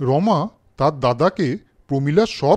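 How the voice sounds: The speaker is a man with a fairly high voice. He talks slowly. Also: slightly mellow tone.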